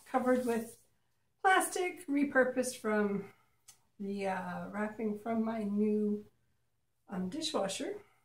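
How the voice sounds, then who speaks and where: With lively intonation and a somewhat breathy sound, the speaker moves at a fairly slow pace, leaving long, frequent pauses. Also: woman. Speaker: acrylic pour artist. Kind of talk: casual tutorial. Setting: home art studio, video. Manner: chatty, playful.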